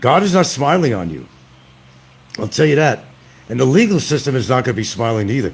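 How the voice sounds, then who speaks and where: The voice carries vocal fry and very wide pitch swings at a very fast pace, broken by long, frequent pauses. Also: man, medium pitch for a man. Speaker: livestream commentator. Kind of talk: live stream rant. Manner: loud; animated.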